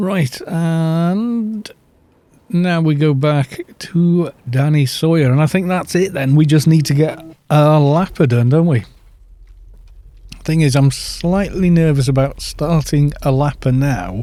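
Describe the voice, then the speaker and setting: Speaking at a very slow pace with a Welsh accent, the voice has a dark, mellow tone, ordinary pitch variation and very even loudness. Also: man, fairly high pitch for a man. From Wales. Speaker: gaming streamer. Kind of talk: live game commentary. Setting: live stream. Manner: loud, projecting. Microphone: too quiet for viewers.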